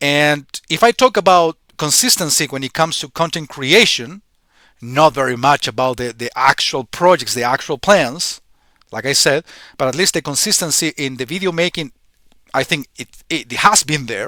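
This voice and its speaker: The speaker has a non-native accent and a bright, sharp tone, talking at a moderate pace with ordinary pitch variation. The recording is very clean and dry, with a close sound, no echo and a silent background. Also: man, fairly high pitch for a man. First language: Spanish. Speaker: YouTuber, retro gaming commentator. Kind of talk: casual vlog monologue. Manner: halting, many repetitions and fillers.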